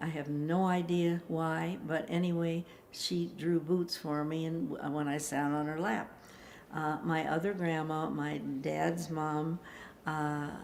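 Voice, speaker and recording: A woman with an American accent, very deep and low-pitched, very slow and monotone with flat intonation, in audible room echo. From US Midwest, Chicago. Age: 90s. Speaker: elderly interviewee telling life story. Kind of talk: life story interview. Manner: halting, with many fillers.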